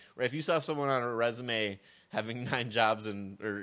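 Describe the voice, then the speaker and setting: A man speaks in a normal speaking voice at a fairly quick pace. His pitch variation is ordinary, and the background is quiet. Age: 20s. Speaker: podcast co-host. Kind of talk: casual chat.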